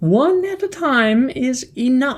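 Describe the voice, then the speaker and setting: A woman puts on a character voice. It sits high in pitch. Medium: read story. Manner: sly, flattering.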